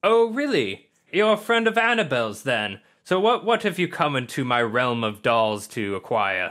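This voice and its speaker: A man puts on a character voice at a fairly high pitch, swinging very widely up and down. He keeps a moderate pace on a very clean recording with a silent background. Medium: actual play. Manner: menacing.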